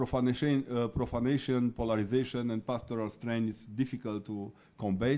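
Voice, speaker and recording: Speaking with a non-native accent, a man uses a medium pitch, a dark, mellow tone and a monotone, flat intonation at a fairly quick pace. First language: not English. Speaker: researcher on religion. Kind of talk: conference talk. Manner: halting.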